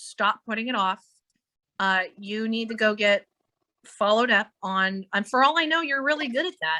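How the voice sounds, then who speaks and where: In a quiet background, a woman speaks at a moderate pace with a fairly high pitch, lively intonation, and an animated, bright, sharp tone, the sound dry and close with no echo. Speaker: psychic medium. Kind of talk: psychic reading in a live online meeting. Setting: video call.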